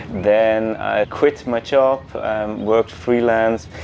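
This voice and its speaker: A man's middle-range voice, with normal rises and falls, comes through noticeable background noise. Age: 40s. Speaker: coding bootcamp student, former radio executive. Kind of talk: documentary interview.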